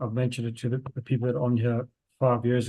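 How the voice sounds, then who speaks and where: A man speaks very fast at a medium pitch. His tone is dark and mellow and somewhat breathy. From South Africa. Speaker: spiritual healer. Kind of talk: casual chat.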